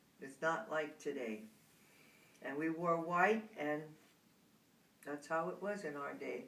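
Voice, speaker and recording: A woman with a very deep, low pitch talks at a fairly slow pace with lively intonation and long, frequent pauses, with audible room echo. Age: 80s+. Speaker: grandmother interviewed by grandchild. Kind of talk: casual family interview.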